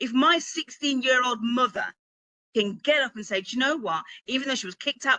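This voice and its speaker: Lively intonation and an animated tone mark a woman's bright, sharp voice with a British accent, recorded dry and close with no echo against a quiet background. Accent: UK. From Birmingham, England. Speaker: author and publishing coach. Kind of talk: motivational talk. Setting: virtual event with live chat.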